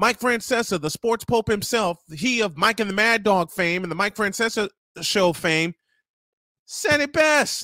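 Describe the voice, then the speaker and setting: A man projects a raised, bright, sharp voice at a fairly slow pace with lively intonation. The recording is very clean with a silent background and a dry, close sound with no echo. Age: 50s. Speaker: sports radio host. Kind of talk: casual chat. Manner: animated.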